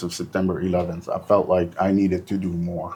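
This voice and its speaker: A dark, mellow tone at a moderate pace, monotone with flat intonation. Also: man. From North Lebanon. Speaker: police officer. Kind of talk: interview.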